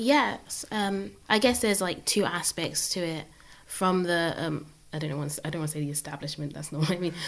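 A woman's normal speaking voice, fairly low in pitch, at a fairly quick pace with lively intonation. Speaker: economics undergraduate. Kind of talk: casual conversation.

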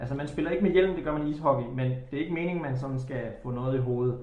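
A man talks at a very fast pace, medium in pitch with ordinary pitch variation. Noticeable background noise and audible room echo surround him. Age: 30s. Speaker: former floorball and hockey player. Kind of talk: casual interview chat.

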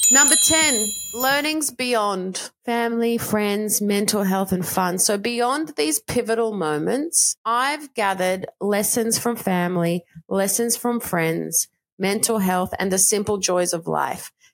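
At a very slow pace, a woman speaks in a medium pitch with lively intonation and very even loudness. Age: 40s. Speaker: podcast host and life coach. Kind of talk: solo monologue.

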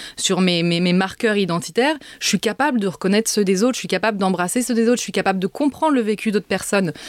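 With lively intonation at medium pitch, a woman speaks on a very clean recording with a silent background and a dry, close sound with no echo. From Paris suburbs, France. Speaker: essayist and author. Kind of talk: interview. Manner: halting, repeats words.

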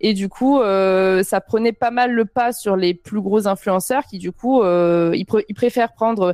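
Very slow speech carries a dark, mellow tone and ordinary pitch variation, recorded with a dry, close sound and no echo. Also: woman, medium pitch for a woman, very clean recording, silent background. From southern France, Avignon. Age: 20s. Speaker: streamer. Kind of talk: casual chat. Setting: live stream with chat.

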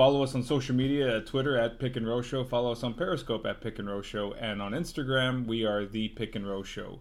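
Talking very fast, a man keeps a medium pitch and ordinary pitch variation. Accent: American. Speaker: podcast host. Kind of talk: casual chat.

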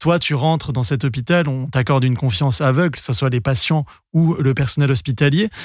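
Somewhat breathy and fairly high in pitch, a man speaks at a fairly quick pace. His pitch varies in an ordinary way, and his loudness stays very even. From Senegal. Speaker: podcast host, film journalist. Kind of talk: interview.

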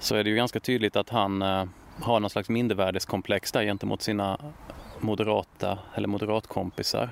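A man talks in a flat monotone, recorded with a dry, close sound and no echo. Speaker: author and true-crime YouTuber. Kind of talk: interview. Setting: outdoors. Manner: halting.

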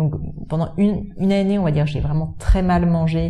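A woman talks at a fairly quick pace over noticeable background noise, with audible room echo. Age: 30s. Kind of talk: interview. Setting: in the guest's office.

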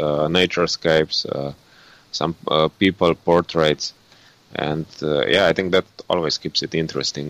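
A man speaks with a very deep, low pitch and a bright, sharp tone, his intonation fairly even. The moderate-paced delivery sounds dry and close with no echo. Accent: Slovene. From Slovenia. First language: Slovene. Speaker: landscape photographer and photo tour guide. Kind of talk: casual interview. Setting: remote call. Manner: halting, with many fillers.

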